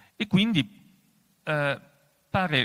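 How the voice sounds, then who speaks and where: On a very clean recording with a silent background, a man talks. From Asti, Piedmont. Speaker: professor and moderator. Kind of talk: moderated public discussion. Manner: halting.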